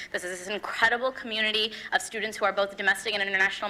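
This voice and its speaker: With noticeable background noise behind her, a woman speaks in a fairly high pitch with fairly even intonation. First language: not English. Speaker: student election candidate. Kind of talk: debate. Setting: stage with audience.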